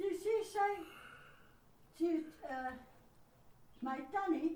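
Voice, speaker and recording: A woman's extremely high pitch with ordinary pitch variation and a dark, mellow tone, at a very slow pace, with audible room echo. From South Africa. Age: 80s+. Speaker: grandmother. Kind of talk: casual chat.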